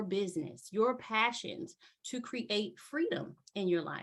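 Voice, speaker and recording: Lively in intonation and animated in tone, a woman with an American accent speaks at a fairly slow pace and a medium pitch. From US, Baltimore, Maryland. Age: 40s. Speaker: motivational business speaker. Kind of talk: webinar presentation.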